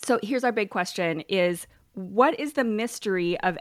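Using lively intonation, a woman with an ordinary speaking voice talks at a moderate pace. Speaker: podcast host. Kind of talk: podcast interview, casual chat.

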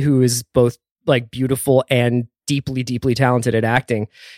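The recording of this man is very clean with a silent background, and the sound is dry and close with no echo. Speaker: film critic. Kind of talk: casual chat. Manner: halting.

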